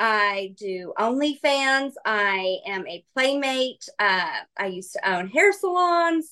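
With an American accent and a raised, projected voice, a woman speaks at a very slow pace and high pitch, her pitch swinging very widely and hardly any pauses breaking it up. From Kansas, US. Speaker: model and content creator. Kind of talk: casual chat.

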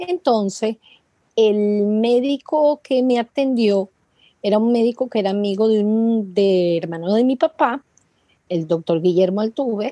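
A woman with a Venezuelan accent, fairly high pitch and a dark, mellow tone, lively intonation at a fairly slow pace, very even loudness and a dry, close sound with no echo. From Venezuela, Caracas. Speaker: congenital heart disease patient and foundation founder. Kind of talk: interview.

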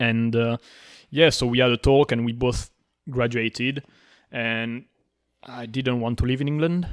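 A man's medium-pitched voice with a French accent, at a fairly slow pace and with fairly even intonation, in a dry, close sound with no echo. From southern France. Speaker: podcast co-host appearing as guest. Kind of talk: casual interview chat. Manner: frequent hesitations and laughs.

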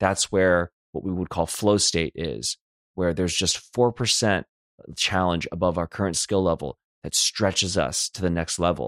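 In an American accent, a man speaks with a very deep, low pitch and vocal fry, recorded very cleanly against a silent background with a dry, close sound and no echo. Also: ordinary pitch variation, moderate pace. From US West Coast, Los Angeles. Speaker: life coach. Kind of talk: personal storytelling monologue. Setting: solo recording.

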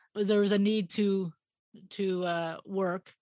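With a Canadian accent, a woman speaks in a monotone, flat intonation, her voice dry and close with no echo over a quiet background. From Edmonton, Alberta, Canada. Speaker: gallery owner and artist. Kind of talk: interview.

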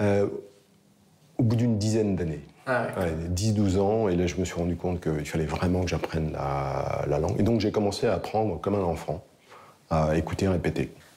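Very deep and low, a man's voice moves at a moderate pace with ordinary pitch variation. His loudness stays very even, and he takes long, frequent pauses. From Lorraine, France. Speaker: pig farmer. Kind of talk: casual interview. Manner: hesitant, many fillers.

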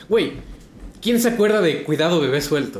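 The intonation is lively. Words come at a fairly quick pace. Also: man. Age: 40s. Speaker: podcast co-host. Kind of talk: casual chat.

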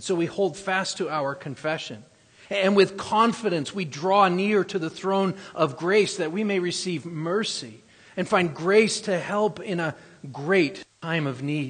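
The speech comes at a fairly slow pace with ordinary pitch variation. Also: man, high pitch for a man. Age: 40s. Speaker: pastor. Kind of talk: sermon. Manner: halting.

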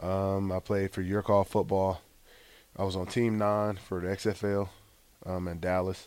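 A man with an American accent, very deep and low in pitch, monotone and flat, at a fairly slow pace with long, frequent pauses. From US South, Gulfport, Mississippi. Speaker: former college football quarterback. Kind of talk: interview.

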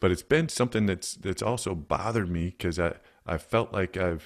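This man's very deep, low voice carries lively intonation on a very clean recording with a silent background. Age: 50s. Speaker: nurse and leadership coach. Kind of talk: casual chat.

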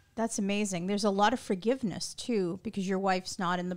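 On a very clean recording with a silent background, a woman speaks at medium pitch. She has an unremarkable speaking voice and fairly even intonation. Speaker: podcast host. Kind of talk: casual interview chat. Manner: warm, friendly.

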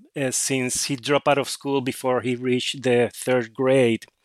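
A man with a Spanish accent at medium pitch, his intonation fairly even, in a dry, close sound with no echo and a very clean recording with a silent background. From Puerto Rico. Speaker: author. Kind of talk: interview. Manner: halting.

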